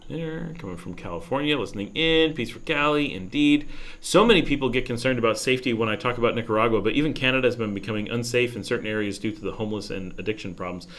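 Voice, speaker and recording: A man with an American accent talks very fast with lively intonation and big swings in loudness. Audible room echo surrounds his voice. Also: medium pitch for a man. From New York state, US. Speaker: expat YouTuber answering live chat. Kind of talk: casual livestream Q&A. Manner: hesitant, many fillers and restarts.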